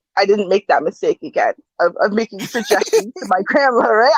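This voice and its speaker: The tone is animated, with a slight Jamaican accent. The pace is fairly quick. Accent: slight Jamaican island. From Canada, Jamaican family. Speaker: panelist. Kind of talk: casual chat.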